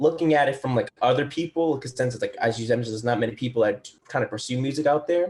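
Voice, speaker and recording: A man's somewhat breathy, fairly high voice at a very fast pace, with ordinary pitch variation and hardly any pauses. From Boston. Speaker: musician. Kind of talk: casual chat.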